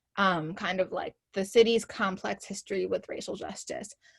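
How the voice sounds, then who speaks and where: A woman speaks at a fairly quick pace in a medium-pitched, somewhat breathy voice. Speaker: climate activist organizer. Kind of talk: presentation. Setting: video call. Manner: fast.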